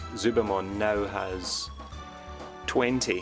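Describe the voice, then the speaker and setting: Over music in the background, a man speaks at a fairly low pitch with ordinary pitch variation. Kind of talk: casual unboxing review talk.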